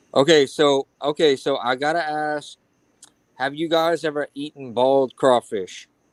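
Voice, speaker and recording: A man with a Louisiana accent talks at a fairly slow pace in a fairly high pitch. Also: fairly even intonation. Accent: Louisiana Southern. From Louisiana (Cajun). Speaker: YouTuber joining a live stream. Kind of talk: casual chat.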